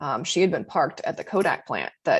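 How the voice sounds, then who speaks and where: Against a quiet background, the speaker talks at a moderate pace with a General American accent. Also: woman. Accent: General American (Colorado). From Colorado. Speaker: meteorologist. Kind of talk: seminar talk. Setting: seminar presentation.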